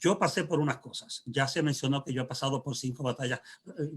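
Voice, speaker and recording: Speaking at a fairly quick pace, a man with a fairly high pitch sounds somewhat breathy and uses ordinary pitch variation. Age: 60s. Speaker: pastor. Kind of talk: panel discussion. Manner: halting.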